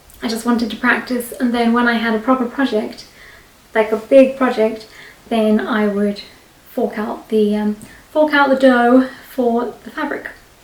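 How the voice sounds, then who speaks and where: A fairly high-pitched woman at a moderate pace, fairly even in intonation, with noticeable background noise. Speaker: craft vlogger. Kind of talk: casual vlog talk. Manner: chatty, rambling with fillers.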